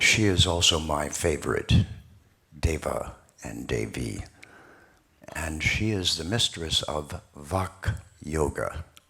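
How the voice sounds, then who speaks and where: A man with a very deep, low, booming voice, bright, sharp tone, vocal fry and lively intonation speaks at a very slow pace with long, frequent pauses. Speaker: speaker on spiritual texts. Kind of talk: public talk. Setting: hall with audience.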